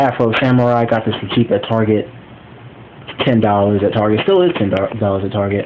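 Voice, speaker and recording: A man's medium-pitched voice at a moderate pace, over noticeable background noise. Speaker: YouTuber reviewing Blu-ray collection. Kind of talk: casual video review. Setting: recorded on phone at home. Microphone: phone recording.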